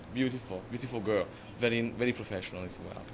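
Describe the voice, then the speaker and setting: A man talks in an Italian accent. The recording carries audible room echo and noticeable background noise. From Italy, Florence. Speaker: makeup artist. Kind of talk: interview. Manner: hesitant, many fillers.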